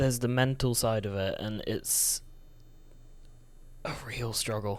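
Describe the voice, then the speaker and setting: A soft-spoken man talks in a monotone with flat intonation. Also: medium pitch for a man, fairly slow pace. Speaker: vlogger. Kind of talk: personal testimony monologue. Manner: halting.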